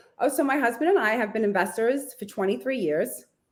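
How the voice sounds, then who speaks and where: With a New York accent, a woman speaks fairly quickly in a fairly high pitch. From Brooklyn, New York City. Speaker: realtor and real estate investor. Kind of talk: interview. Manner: fast-paced speech.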